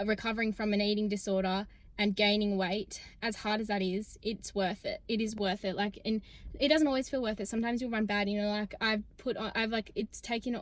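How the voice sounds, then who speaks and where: A woman speaks with an Australian accent at a fairly quick pace. Her pitch is fairly high, and her intonation is monotone and flat. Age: 20s. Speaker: student athlete and vlogger. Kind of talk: casual vlog talk to camera. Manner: fast, chatty.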